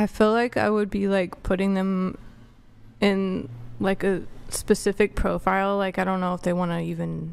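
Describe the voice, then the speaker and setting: Soft-spoken and at a moderate pace, a woman talks with fairly even intonation. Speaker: panelist. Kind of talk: panel debate. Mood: guarded, reserved. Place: studio. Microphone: studio mic.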